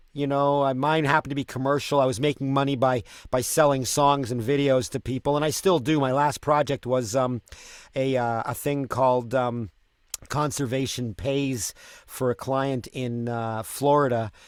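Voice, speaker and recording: Recorded very cleanly against a silent background, a man speaks at a medium pitch and moderate pace with fairly even intonation. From Canada. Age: 50s. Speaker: street performer and musician. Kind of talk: casual chat. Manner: halting, many repeated words.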